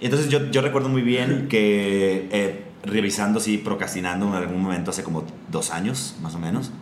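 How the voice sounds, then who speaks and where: A fairly low-pitched man at a fairly quick pace, ordinary pitch variation, audible room echo and noticeable background noise. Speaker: podcast host. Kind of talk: casual chat.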